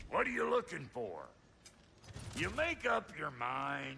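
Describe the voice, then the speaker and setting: A raspy, put-on character voice speaks at a fairly slow pace. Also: man. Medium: video game. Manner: gruff, blunt.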